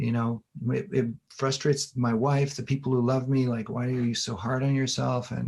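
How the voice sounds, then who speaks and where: Somewhat breathy male voice at medium pitch, moderate in pace, with fairly even intonation. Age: 60s. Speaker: infographics designer and former professor. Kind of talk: casual interview chat. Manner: halting, repetitive.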